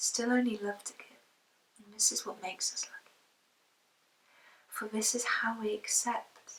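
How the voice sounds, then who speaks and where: A woman talks in a monotone, flat way, with long, frequent pauses and big swings in loudness. Noticeable background noise is present. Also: fairly high pitch for a woman, fairly slow pace. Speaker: poet. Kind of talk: spoken word poetry reading.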